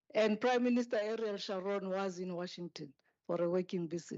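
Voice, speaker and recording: A woman is speaking. She has a non-native accent. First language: not English. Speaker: speaker at a memorial service, former aide to a president. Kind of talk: memorial tribute speech. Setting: memorial service hall.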